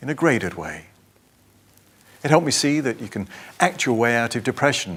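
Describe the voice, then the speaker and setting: The speaker has an English accent and talks at a moderate pace. The recording is very clean, with a silent background. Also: man. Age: 60s. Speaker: patient sharing recovery story. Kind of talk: testimony.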